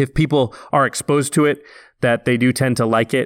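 A man talks at a medium pitch with fairly even intonation. The recording is very clean and dry, with a silent background, close sound and no echo. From Oregon, small town outside Portland. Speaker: film visual effects artist and podcast co-host. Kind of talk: casual interview.

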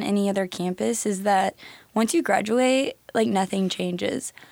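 Speech in an unremarkable speaking voice comes at a fairly quick pace. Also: woman. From Nebraska. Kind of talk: interview.

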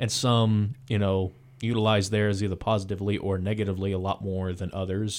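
In a plain, everyday voice, a man speaks fairly quickly at a fairly low pitch. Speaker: radio host. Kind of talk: radio interview. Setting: radio studio.

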